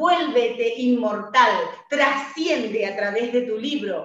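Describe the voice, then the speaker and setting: An animated, warm tone in an Argentine accent, fairly slow in pace, with audible room echo. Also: woman. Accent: Argentine Rioplatense. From Argentina. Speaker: radio host and author coach. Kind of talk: radio interview, motivational. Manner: animated, warm, enthusiastic. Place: home room. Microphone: webcam.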